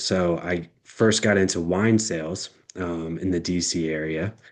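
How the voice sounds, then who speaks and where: A man's very deep, low voice in an American accent, with ordinary pitch variation and a quiet background. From Texas (Austin). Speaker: entrepreneur and former salesman. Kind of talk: casual interview chat.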